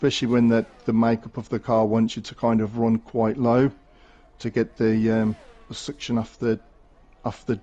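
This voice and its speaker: With a Birmingham accent, a man speaks at a medium pitch. His tone is dark and mellow, his pace moderate. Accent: Brummie. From Birmingham, England. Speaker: esports race co-commentator. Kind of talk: live commentary.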